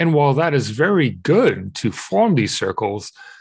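A man talks at a fairly slow pace. His voice is fairly high in pitch and somewhat breathy. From Israel. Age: 30s. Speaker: pagan interfaith activist. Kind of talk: interview conversation.

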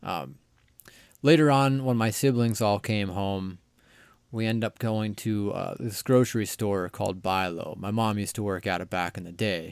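Speaking at a moderate pace in a fairly low pitch, a man has an ordinary speaking voice, heard in a very clean recording with a silent background. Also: ordinary pitch variation. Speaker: podcast host guest. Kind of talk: casual chat.

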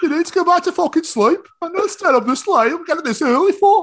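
Delivered at a very fast pace, this put-on character voice sits at an extremely high pitch. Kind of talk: coarse, casual. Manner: annoyed, scolding.

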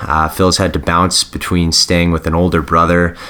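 A man with a very deep, low voice talks over noticeable background noise. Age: 20s (29). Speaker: podcast host. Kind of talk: scripted intro; casual interview.

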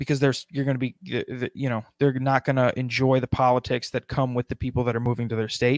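The speech runs at a very fast pace with hardly any pauses. Intonation is monotone and flat, and the sound is dry and close with no echo. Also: man, medium pitch for a man. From South Dakota. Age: 20s. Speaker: podcaster. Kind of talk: casual chat.

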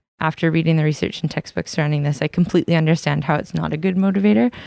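Dark, mellow tone in a Western Canadian accent, with fairly even intonation and a dry, close sound with no echo. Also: woman. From New Westminster, British Columbia. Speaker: student teacher. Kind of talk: prepared reflection.

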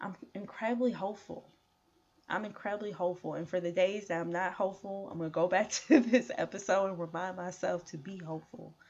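Talking at a fairly quick pace, a woman has a plain, everyday voice with an American accent. Her pitch is medium, with ordinary pitch variation and big swings in loudness. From Chicago. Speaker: podcast host. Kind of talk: solo podcast monologue.

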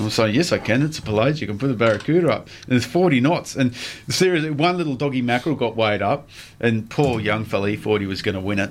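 A man with an Australian accent talks at a very fast pace. His medium pitch carries lively intonation. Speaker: radio fishing show host. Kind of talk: casual chat.

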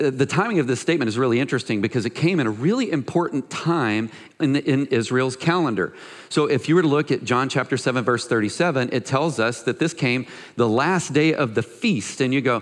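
Against a quiet background, a man with a normal speaking voice talks at a moderate pace, his medium pitch showing ordinary variation. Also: very even loudness. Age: 40s. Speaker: pastor. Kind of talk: sermon.

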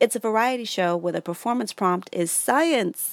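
On a very clean recording with a silent background and a dry, close sound with no echo, a woman with an American accent and a plain, everyday voice talks at a fairly quick pace with lively intonation. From New York. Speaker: stand-up comedian. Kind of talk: reading aloud.

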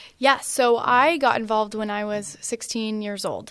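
A woman talks at a moderate pace in a plain, everyday voice. Her pitch is fairly high, with ordinary pitch variation. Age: 20s. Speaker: pro-life activist and speaker. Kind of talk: interview.

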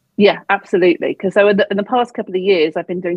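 This woman speaks in a southern English accent. Her pitch variation is ordinary. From England, Devon. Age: 40s. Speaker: business coach. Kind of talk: interview.

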